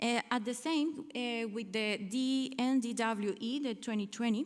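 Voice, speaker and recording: Speaking with a Spanish accent, a woman talks at a fairly slow pace in a fairly high pitch. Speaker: researcher. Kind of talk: conference talk. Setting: conference hall. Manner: halting.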